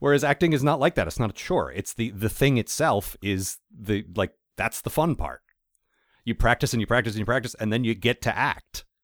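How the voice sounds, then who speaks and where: Recorded very cleanly with a silent background and a dry, close sound free of echo, a man speaks at a medium pitch and a fairly quick pace with lively intonation. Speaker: podcast host. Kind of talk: casual interview chat.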